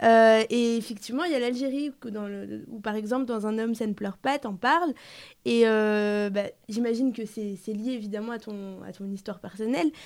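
A woman with a plain, everyday voice, a fairly high pitch, ordinary pitch variation and a moderate pace, in a very clean recording with a silent background. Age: 20s. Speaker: interviewer. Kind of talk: interview.

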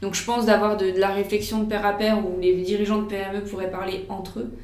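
Amid noticeable background noise and audible room echo, a woman at medium pitch talks at a moderate pace in a monotone, flat intonation. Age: 30s. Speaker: digital transformation consultant. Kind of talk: interview.

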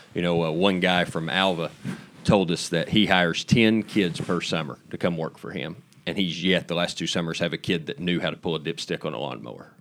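A man with an American accent and a very deep, low pitch, with vocal fry, ordinary pitch variation and a fairly quick pace. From Oklahoma, farm. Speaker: livestock show organizer. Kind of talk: interview.

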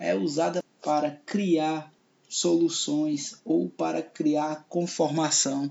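Man with a fairly high pitch, at a very slow pace. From Ceará, Brazil (Fortaleza). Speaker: podcast host and comedian. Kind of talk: radio-style podcast monologue.

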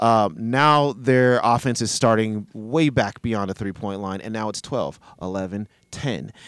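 A man uses an ordinary speaking voice at a medium pitch with ordinary pitch variation, in a very clean recording with a silent background. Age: 40s. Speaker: basketball analyst co-host. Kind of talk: casual sports discussion podcast.

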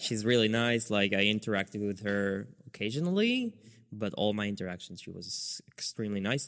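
A man's fairly low voice at a moderate pace in a very clean recording with a silent background. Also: fairly even intonation. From Israel, near Netanya. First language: Hebrew. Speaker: podcast host. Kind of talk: casual chat.

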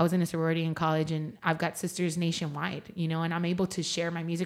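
The speaker talks at a very fast pace with a San Antonio accent. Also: woman. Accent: Texan, San Antonio. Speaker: singer-songwriter. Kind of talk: casual interview chat.

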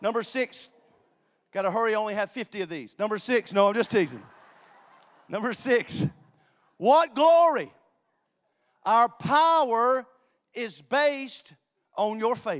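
Pausing long and often, a man with an extremely high voice sounds animated, his intonation lively. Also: fairly slow pace. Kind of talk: sermon to a live congregation. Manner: animated, call-and-response, rising and exhorting with crowd participation.

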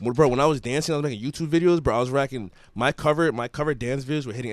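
In a very clean recording with a silent background, a man talks at a very fast pace with an American accent. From Everett, Massachusetts. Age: 20s. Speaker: rapper. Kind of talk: casual chat.

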